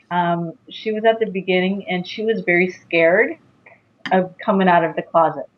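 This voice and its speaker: A woman speaks at medium pitch and a moderate pace in an unremarkable speaking voice. Her intonation is fairly even. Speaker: psychic medium and intuitive coach. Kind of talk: interview.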